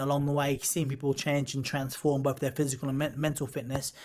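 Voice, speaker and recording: On a very clean recording with a silent background, a man with an English accent talks fairly quickly at a fairly high pitch. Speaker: boxer and pro wrestler. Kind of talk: casual chat. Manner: fast; animated.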